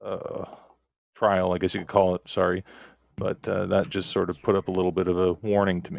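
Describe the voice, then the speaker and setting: Mumbling at a fairly quick pace, a man speaks in a very deep, low pitch with monotone, flat intonation and a dry, close sound with no echo. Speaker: online game player. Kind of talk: casual chat. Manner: mumbling, stumbling.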